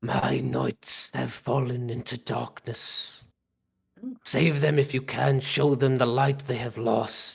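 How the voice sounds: A put-on character voice sits at a low-to-middle pitch with audible hissing. It moves at a fairly slow pace.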